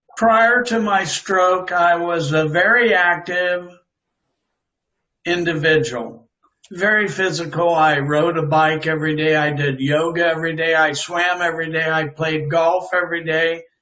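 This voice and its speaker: Delivered at a fairly slow pace with fairly even intonation, the speech carries audible room echo. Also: man, high pitch for a man. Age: 60s. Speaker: stroke survivor and author. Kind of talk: interview testimony.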